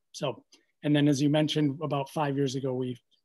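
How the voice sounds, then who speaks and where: A man with an American accent, fairly high pitch, moderate pace and fairly even intonation, against a quiet background. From US Midwest. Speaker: physician and educator. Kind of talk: panel discussion. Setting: video call. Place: home room. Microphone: video call.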